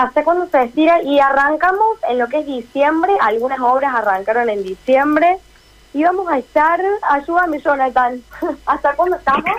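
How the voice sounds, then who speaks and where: A woman's high voice in a Córdoba Argentine accent, lively in intonation, at a moderate pace. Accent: Cordoba tonada. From Córdoba, Argentina. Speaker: radio correspondent and dancer. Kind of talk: radio interview.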